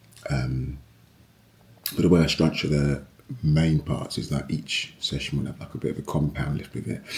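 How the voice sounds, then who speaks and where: A man's very deep, low voice at a moderate pace over noticeable background noise. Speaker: personal trainer. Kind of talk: fitness vlog. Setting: home garage gym. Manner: casual.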